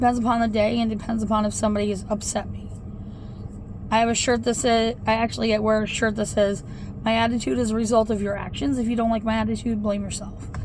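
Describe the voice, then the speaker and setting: A woman speaks very fast in a fairly high pitch with a monotone, flat intonation, and audible room echo surrounds her voice. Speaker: vlogger. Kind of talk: casual vlog talk. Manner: loud.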